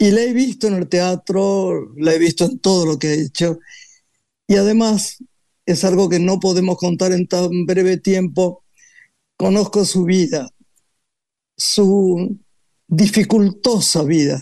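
The speech moves at a very slow pace with long, frequent pauses. Its tone is dark and mellow, with ordinary pitch variation. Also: man, high pitch for a man. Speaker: talk show host. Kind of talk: guest introduction; casual chat.

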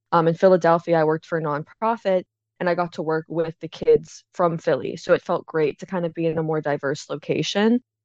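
A woman with an American accent speaks at a fairly quick pace in a plain, everyday voice, her pitch fairly low and her intonation fairly even. The sound is dry and close, with no echo. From Pittsburgh, Pennsylvania. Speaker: AmeriCorps member, suicide prevention trainer. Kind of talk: interview.

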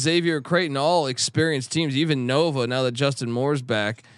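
The recording is very clean with a silent background. A man talks at a moderate pace and medium pitch in an unremarkable speaking voice. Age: 40s. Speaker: sports betting analyst. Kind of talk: casual chat.

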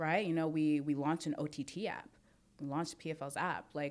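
A woman's very deep, low voice in a New York accent, flat and monotone. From Brooklyn, New York. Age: 20s. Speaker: mixed martial arts fighter and industry professional. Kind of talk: casual chat.

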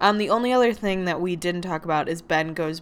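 Recorded very cleanly against a silent background, a woman uses a normal speaking voice, fairly low in pitch with fairly even intonation. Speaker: podcast host. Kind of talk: casual chat.

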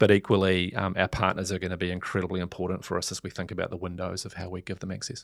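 In a New Zealand accent, a man speaks very fast with hardly any pauses, his very deep, low voice monotone and flat. The recording is very clean with a silent background. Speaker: media executive. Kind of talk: interview. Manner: halting, frequent fillers.

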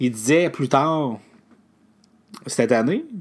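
Speaking with a Quebec accent, a man talks at a fairly slow pace with ordinary pitch variation on a very clean recording with a silent background. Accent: Québécois French. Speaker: podcast host. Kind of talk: solo tech news recap. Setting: alone at a microphone. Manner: hesitant, many filler sounds.

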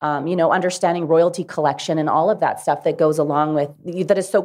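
Over a quiet background, a woman with a Canadian Prairie accent talks at a very fast pace. Her voice sits fairly low, with fairly even intonation. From Dauphin, Manitoba, Canada. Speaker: country singer. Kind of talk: panel discussion. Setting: stage with live audience.

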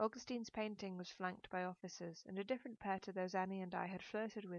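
Unforced voice reading, with intonation that stays fairly even

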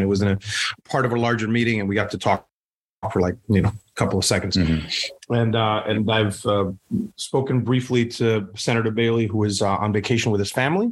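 Very fast speech from a man in a Spanish accent, medium-pitched with fairly even intonation, on a very clean recording with a silent background. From Puerto Rico. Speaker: state politician. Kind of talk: interview.

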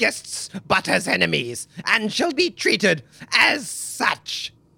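A put-on character voice, fairly high-pitched and shrill. It moves at a fairly slow pace. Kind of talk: haughty, formal. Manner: screeching, indignant.

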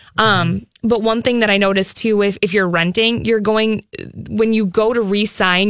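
On a very clean recording with a silent background, a woman with an ordinary speaking voice talks at a moderate pace with fairly even intonation. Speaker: mortgage professional. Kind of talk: radio talk show. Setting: studio.

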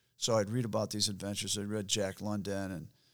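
A man's monotone, flat delivery at a moderate pace, in an American accent. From US Midwest, rural central Michigan. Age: 60s. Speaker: endurance athlete and adventurer. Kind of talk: interview. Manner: casual, halting.

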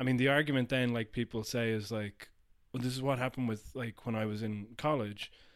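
Using a normal speaking voice, a man talks at medium pitch and a fairly quick pace with fairly even intonation. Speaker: podcast host. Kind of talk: casual chat. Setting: studio.

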